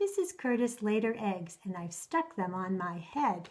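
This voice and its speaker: Using a put-on character voice, a woman speaks at a moderate pace with a medium pitch. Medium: read story.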